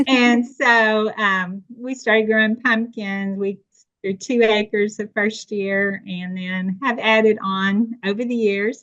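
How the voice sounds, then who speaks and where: Very slow in pace, a woman with a slight East Tennessee accent speaks at a fairly high pitch with fairly even intonation. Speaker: farmer. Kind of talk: podcast interview.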